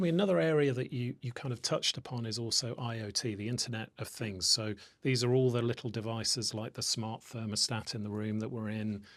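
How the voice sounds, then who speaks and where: A man with a medium pitch talks at a fairly quick pace with hardly any pauses and ordinary pitch variation. The recording is very clean, with a silent background. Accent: British. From UK. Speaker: podcast host. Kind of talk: interview. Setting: office.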